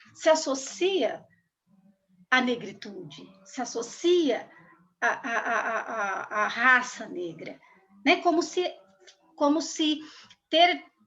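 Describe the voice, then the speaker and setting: Very slow speech with long, frequent pauses and very wide pitch swings. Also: woman, high pitch for a woman. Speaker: school supervisor speaking on race. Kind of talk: talk to school students.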